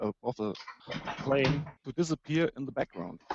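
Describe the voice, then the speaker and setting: A man with a German accent, at a moderate pace, with ordinary pitch variation. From Germany. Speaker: debate participant. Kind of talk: online debate. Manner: halting.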